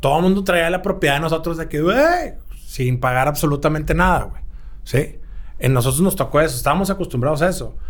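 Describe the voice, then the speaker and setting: A man rattles off his words very fast, his fairly high voice rising and falling in an ordinary way. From Monterrey, Mexico. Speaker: musician. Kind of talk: casual interview. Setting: record label office.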